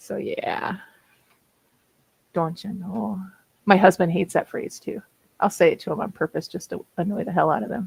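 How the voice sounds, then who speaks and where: A woman talks at a moderate pace, leaving long, frequent pauses. The sound is dry and close, with no echo. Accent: Minnesota. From Minnesota. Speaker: streamer, writer. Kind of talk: casual chat.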